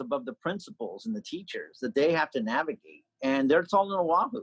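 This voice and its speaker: Loud and with very wide pitch swings, a man talks at a moderate pace in a dry, close sound with no echo. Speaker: political candidate and state legislator. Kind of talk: interview.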